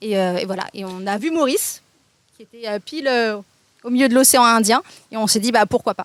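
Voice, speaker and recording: A woman speaks at a fairly quick pace with ordinary pitch variation and big swings in loudness. Long, frequent pauses break up her speech, and the sound is dry and close with no echo. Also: fairly high pitch for a woman. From France. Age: 30s. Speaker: content creator. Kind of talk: casual interview. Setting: outdoors at a beach restaurant.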